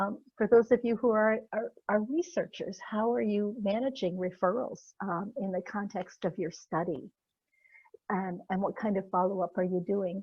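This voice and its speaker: A somewhat breathy woman's voice at medium pitch. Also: ordinary pitch variation, moderate pace. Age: 60s. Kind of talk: presentation; Q&A answer. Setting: virtual symposium. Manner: halting, many fillers.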